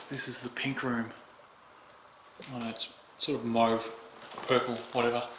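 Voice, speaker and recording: Over noticeable background noise and audible room echo, a man with an Australian accent talks fairly slowly at medium pitch, his intonation monotone and flat, with long, frequent pauses. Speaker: urban explorer vlogger. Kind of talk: exploration vlog narration. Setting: inside abandoned house.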